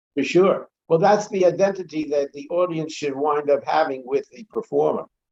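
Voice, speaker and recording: Recorded with a dry, close sound and no echo, a man with a New York accent talks in a fairly high pitch, with ordinary pitch variation and big swings in loudness. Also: moderate pace. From Brooklyn, New York. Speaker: comedy club owner and actor. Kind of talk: casual interview chat.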